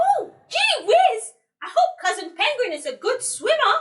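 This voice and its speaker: A squeaky, female-sounding put-on character voice at an extremely high pitch. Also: moderate pace. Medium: read story. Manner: excitable.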